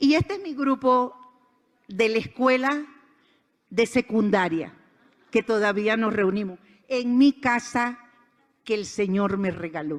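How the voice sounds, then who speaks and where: A woman with a fairly high pitch and lively intonation talks very slowly, leaving long, frequent pauses. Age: 60s. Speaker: conference speaker. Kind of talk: inspirational talk. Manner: animated.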